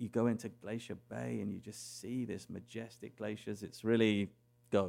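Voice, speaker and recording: A man with an English accent has a dark, mellow tone and fairly low pitch, speaking at a moderate pace in flat, monotone intonation. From England. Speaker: cruise line executive. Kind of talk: interview.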